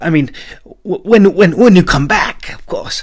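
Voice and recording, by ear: A man puts on a character voice at a high pitch, with a slightly husky edge. He moves at a fairly slow pace with lively intonation.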